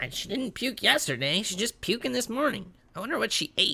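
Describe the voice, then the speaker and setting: Someone uses a put-on character voice with fairly high pitch at a fairly quick pace. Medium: actual play. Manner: casual, easygoing.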